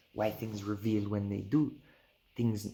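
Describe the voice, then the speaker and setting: At a moderate pace, a man talks in a fairly low, somewhat breathy voice with monotone, flat intonation. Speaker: Rastafarian spiritual video creator. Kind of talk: casual spiritual reasoning and reading aloud.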